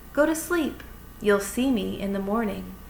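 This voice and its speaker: A female-sounding voice does a put-on character voice at medium pitch and a moderate pace. Clear background noise can be heard. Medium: read story.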